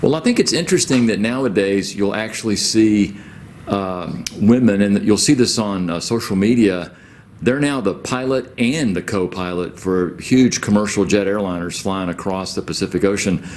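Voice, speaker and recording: Speaking in a normal speaking voice with an American accent, a man talks at a fairly low pitch and moderate pace with ordinary pitch variation. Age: 60s. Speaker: school staff co-host. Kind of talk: casual chat.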